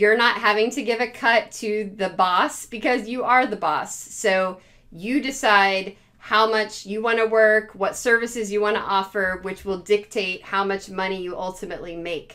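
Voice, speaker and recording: The background is quiet. A woman talks fairly slowly, her pitch varying in an ordinary way. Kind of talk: casual advice talk to camera. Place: home room. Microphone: phone near.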